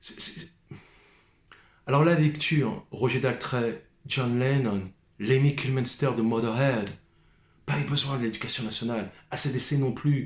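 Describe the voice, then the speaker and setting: A man speaks at a fairly slow pace and medium pitch, with long, frequent pauses. His voice is somewhat breathy, with fairly even intonation. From Paris suburbs, France (Seine-Saint-Denis). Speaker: musician vlogger. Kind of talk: rant monologue.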